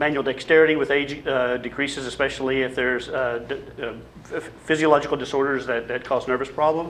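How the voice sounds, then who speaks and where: A man with a slight Arkansas accent talks at a fairly quick pace in a fairly high pitch. His intonation is monotone and flat, and there is noticeable background noise. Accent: slight Southern (Arkansas). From US South, Little Rock, Arkansas. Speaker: public health dentist, campaigner. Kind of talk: panel presentation with slides. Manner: hesitant, many fillers and restarts.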